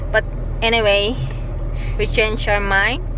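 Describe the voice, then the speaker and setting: Recorded dry with no echo, a woman speaks over noticeable background noise. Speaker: vlogger. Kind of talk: casual vlog chat. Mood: cheerful, playful. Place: car. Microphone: phone near.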